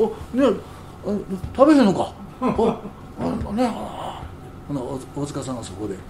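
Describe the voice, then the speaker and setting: A man talks at a moderate pace with very wide pitch swings. Audible room echo and noticeable background noise come through. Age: 70s. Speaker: jazz musician. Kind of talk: casual chat.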